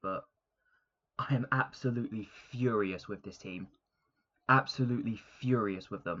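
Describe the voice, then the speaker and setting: Putting on a character voice, a man speaks quietly and strained at a medium pitch and moderate pace, with long, frequent pauses. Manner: hushed, restrained fury.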